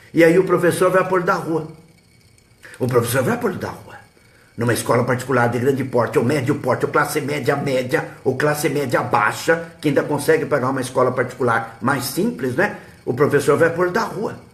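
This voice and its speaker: A man with a fairly high pitch speaks at a moderate pace with ordinary pitch variation, over noticeable background noise and audible room echo. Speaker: history teacher and web radio host. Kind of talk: live stream advice talk. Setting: live web broadcast.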